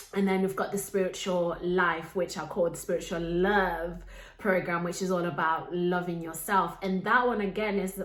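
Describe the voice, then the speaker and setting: A woman speaks with a Zimbabwean accent. Audible room echo and noticeable background noise fill the recording. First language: Shona. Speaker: life coach and podcast host. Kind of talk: podcast monologue.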